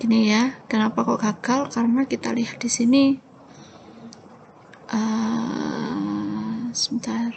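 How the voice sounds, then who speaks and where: A soft-spoken woman at a very slow pace, with noticeable background noise. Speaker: lecturer. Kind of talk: tutorial. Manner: halting.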